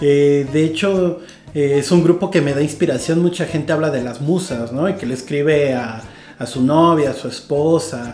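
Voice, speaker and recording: Amid noticeable background noise and audible room echo, a man talks at a moderate pace in a fairly high pitch with ordinary pitch variation. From Mexico, rural Guerrero (Iguala). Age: 30s. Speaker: writer. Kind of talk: casual chat.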